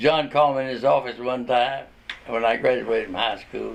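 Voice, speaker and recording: Speaking with a Tennessee accent, a man uses a medium pitch and ordinary pitch variation. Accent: Southern US (Tennessee). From Chattanooga, Tennessee (US South). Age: 80s+. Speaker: retired newspaper reporter. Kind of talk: interview. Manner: halting.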